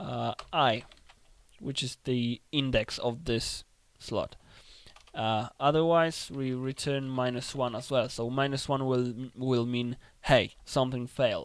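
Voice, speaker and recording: A man with a non-native accent speaks very slowly at a medium pitch with fairly even intonation. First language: not English. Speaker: game development tutorial creator. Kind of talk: tutorial. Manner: casual, thinking aloud with fillers.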